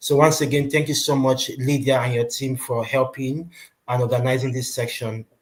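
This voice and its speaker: At a moderate pace, a man speaks at a medium pitch in a monotone, flat delivery that sounds somewhat breathy. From Nigeria. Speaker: recruitment company presenter. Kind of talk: webinar presentation. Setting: online webinar.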